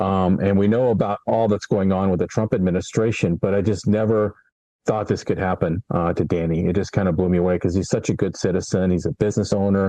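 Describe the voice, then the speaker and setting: A man with a very deep, low pitch and a dark, mellow tone speaks at a very fast pace with fairly even intonation and very even loudness. The sound is dry and close with no echo. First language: Spanish. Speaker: friend of a detained immigrant, entrepreneur mentor. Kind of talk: interview. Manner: halting, with repeated words.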